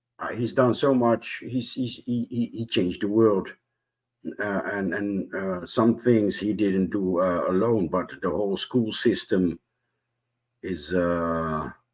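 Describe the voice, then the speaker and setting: A man with a non-native accent, fairly low pitch and a very slow pace. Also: ordinary pitch variation. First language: not English. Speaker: panelist on discussion show. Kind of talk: casual group discussion. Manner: halting, many repetitions and fillers.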